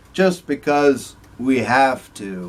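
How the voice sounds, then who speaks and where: A man's medium-pitched voice at a very slow pace, over noticeable background noise. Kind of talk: casual talk to camera.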